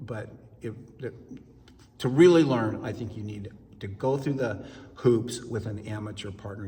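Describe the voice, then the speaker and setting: Amid noticeable background noise and audible room echo, a man talks at a moderate pace and medium pitch with ordinary pitch variation, big swings in loudness, and long, frequent pauses. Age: 60s. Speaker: amateur ballroom dancer. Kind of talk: interview.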